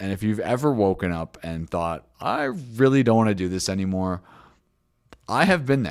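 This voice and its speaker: This man has a very deep, low voice. He speaks with a Canadian accent. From Canada, Toronto. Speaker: business founder and grooming course instructor. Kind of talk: sales pitch. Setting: recorded video call. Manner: casual, with frequent fillers.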